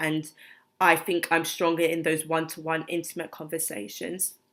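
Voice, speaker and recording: On a very clean recording with a silent background, a woman talks at a moderate pace in a very deep, low pitch with fairly even intonation. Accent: British. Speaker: vlogger. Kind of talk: personal vlog. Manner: soft-spoken; halting, many fillers.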